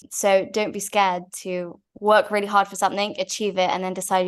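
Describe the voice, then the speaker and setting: A woman with a Manchester accent talks at a fairly quick pace and medium pitch. Her intonation stays fairly even. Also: quiet background. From Manchester, England. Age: 20s. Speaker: winery co-owner and nurse. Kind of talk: interview answers.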